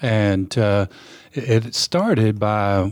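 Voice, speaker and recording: A man speaks in a West Texas accent. His pitch is fairly low and his intonation fairly even. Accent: West Texas (Southern US). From West Texas, Permian Basin. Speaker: pastor and addiction counselor. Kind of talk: interview.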